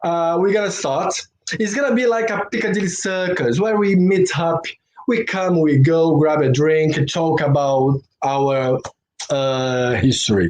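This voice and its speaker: A man's high-pitched voice with a Brazilian accent, lively intonation and a fairly slow pace. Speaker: former dancer and live stream host. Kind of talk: casual live stream interview. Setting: live stream.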